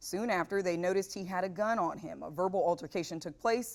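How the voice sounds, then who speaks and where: A woman uses a plain, everyday voice in an American accent, pitched at a medium level with ordinary pitch variation. She talks at a fairly quick pace. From California. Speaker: TV news anchor and reporter. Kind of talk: news anchor script read.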